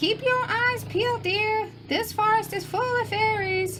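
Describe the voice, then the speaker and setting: Over clear background noise, a woman does a squeaky put-on character voice at an extremely high pitch and a fairly slow pace. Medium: read story. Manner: warm.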